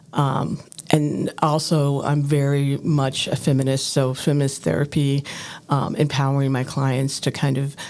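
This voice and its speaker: A woman with an American accent speaks at a fairly slow pace in a very deep, low pitch and monotone, flat intonation, with noticeable background noise behind her. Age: 60s. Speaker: counselor. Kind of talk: podcast interview.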